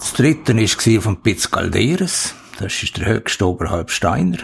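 A man talks with vocal fry. His pace is fairly slow. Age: 70s. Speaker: retired-age civil engineer, mountaineer. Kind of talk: interview. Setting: site office.

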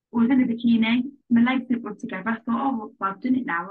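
With an English accent, a woman talks at a fairly quick pace in a fairly high, somewhat breathy voice. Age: 20s. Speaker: nutrition coaching client. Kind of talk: casual interview.

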